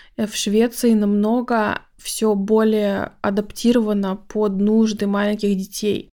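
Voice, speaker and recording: The delivery is very slow and monotone, with flat intonation and hardly any pauses. The tone is dark and mellow. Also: woman, fairly high pitch for a woman. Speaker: podcast host, Swedish language teacher. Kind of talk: casual monologue.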